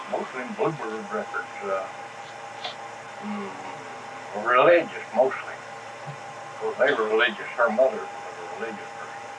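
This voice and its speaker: A man talks with an Appalachian accent, using ordinary pitch variation and long, frequent pauses. Loudness swings widely, with noticeable background noise and audible room echo. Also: medium pitch for a man, moderate pace. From Appalachia (West Virginia / Kentucky). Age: 70s. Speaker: interviewee recounting family history. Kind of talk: oral history interview. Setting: at home.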